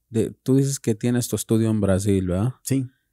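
A man's fairly low, dark, mellow voice at a moderate pace, lively intonation, dry sound with no echo and a quiet background. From California. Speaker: podcast co-host, tattoo artist; podcast co-host. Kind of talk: casual interview. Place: studio. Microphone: studio mic.

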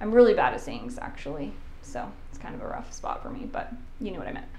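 A woman talking at a very fast pace amid audible room echo and light background noise. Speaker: home renovation vlogger. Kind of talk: casual vlog chat. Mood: upbeat, light self-laughter. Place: bathroom. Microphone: lapel.

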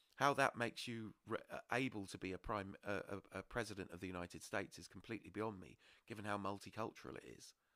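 A man with a British accent talks at a very fast pace, with ordinary pitch variation. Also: fairly low pitch for a man. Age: 40s. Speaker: podcast host. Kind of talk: casual chat.

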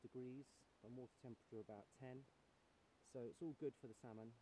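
A man talks at a very fast pace with fairly even intonation and a dark, mellow tone. The sound is dry with no echo, over light background noise. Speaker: presenter. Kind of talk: casual vlog chat. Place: waterside. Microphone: phone near.

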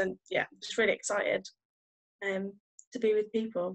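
Over a quiet background, a woman talks with a West Midlands accent. Her fairly high voice keeps a monotone, flat intonation. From English West Midlands. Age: 20s. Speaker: youth worker. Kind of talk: casual interview. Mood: cheerful, excited. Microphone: video call.

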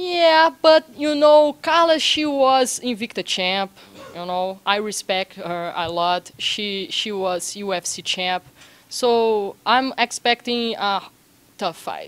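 The speaker has a Brazilian accent. The pace is very slow. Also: woman, fairly high pitch for a woman. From Brazil, Belo Horizonte. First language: Portuguese. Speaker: MMA fighter. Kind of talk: sports interview. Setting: martial arts gym. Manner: halting, non-fluent English. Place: gym. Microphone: handheld.

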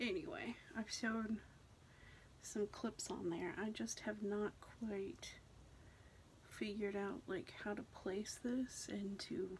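A soft-spoken woman talks at a very slow pace with long, frequent pauses over light background noise. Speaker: hair product reviewer. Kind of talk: casual product review to camera. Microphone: phone near.

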